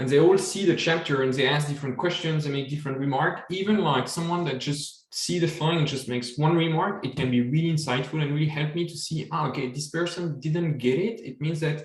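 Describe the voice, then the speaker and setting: Spoken in a French accent, the words come at a fairly quick pace with hardly any pauses. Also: man, fairly high pitch for a man, ordinary pitch variation. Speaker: supply chain author and webinar host. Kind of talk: casual chat.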